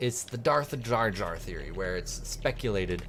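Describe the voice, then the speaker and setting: A man is speaking with music in the background. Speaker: gaming commentator. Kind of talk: gameplay commentary. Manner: casual, halting with repetitions.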